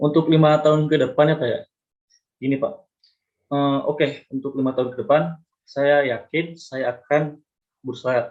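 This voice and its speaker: Pausing long and often, a man speaks at a moderate pace in a fairly high pitch with monotone, flat intonation. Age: 20s. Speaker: university student. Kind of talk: mock job interview. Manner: halting, with fillers and restarts; polite, formal.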